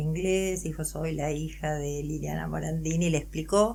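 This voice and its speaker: Audible room echo accompanies a woman's voice. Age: 60s. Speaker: adoptee and psychologist. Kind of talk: interview testimony.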